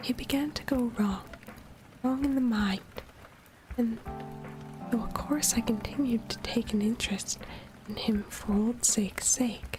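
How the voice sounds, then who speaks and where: A soft-spoken woman whispers with long, frequent pauses while music plays in the background. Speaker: vtuber streamer. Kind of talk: ASMR audiobook reading of a classic novel. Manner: whispered, soft.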